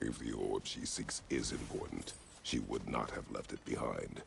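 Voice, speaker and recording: A man uses a put-on character voice with a stern tone, with clear background noise behind him. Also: moderate pace. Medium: video game. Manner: terse, stern.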